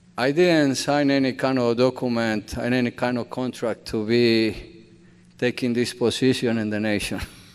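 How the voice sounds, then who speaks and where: A man with a Colombian accent speaks at a medium pitch. His intonation stays fairly even. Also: moderate pace. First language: Spanish. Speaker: bakery owner and immigrant community advocate. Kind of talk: speech to church audience. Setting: church hall with audience. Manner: earnest, emotional.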